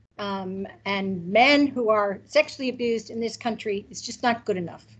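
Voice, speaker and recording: Fairly slow speech with an American accent and ordinary pitch variation. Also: woman. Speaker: criminology academic. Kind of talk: conference presentation.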